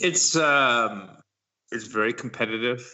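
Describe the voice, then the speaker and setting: Using an ordinary speaking voice with an American accent, a man talks at a fairly slow pace with ordinary pitch variation. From New York (Brooklyn). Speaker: chef and restaurant owner. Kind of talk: interview. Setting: Skype call.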